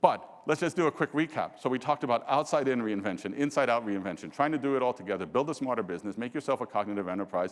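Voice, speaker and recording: Very fast, animated speech in a New York accent, with lively intonation and hardly any pauses. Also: man, medium pitch for a man. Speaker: business executive. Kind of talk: keynote presentation. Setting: stage with audience.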